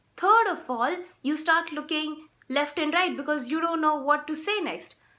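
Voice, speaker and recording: Raising and projecting her voice, a woman speaks fairly slowly in a high pitch with a bright, sharp tone. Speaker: vlogger. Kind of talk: casual vlog monologue.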